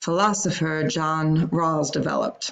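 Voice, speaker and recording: In a Long Island accent, a woman speaks with a very deep, low pitch. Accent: Long Island New York. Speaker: teacher. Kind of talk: prepared talk to an audience, practice run. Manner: formal.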